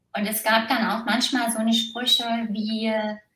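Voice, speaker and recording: In a room with audible echo, a woman speaks at a fairly slow pace, her fairly high pitch held in a monotone, flat intonation. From East Germany, small village. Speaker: former competitive athlete. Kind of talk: interview testimony.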